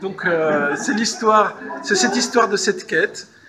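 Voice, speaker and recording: A man talks with lively intonation while noticeable background noise sounds behind him. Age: 60s. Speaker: novelist. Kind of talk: interview. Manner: halting.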